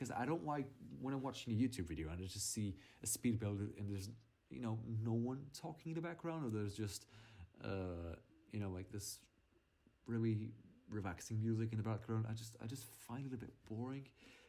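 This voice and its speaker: With a dark, mellow tone, a man talks at a fairly quick pace and lively intonation, broken by long, frequent pauses. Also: medium pitch for a man. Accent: non-native. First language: not English. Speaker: gaming YouTuber. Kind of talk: game voiceover commentary. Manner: halting, with fillers and restarts; casual.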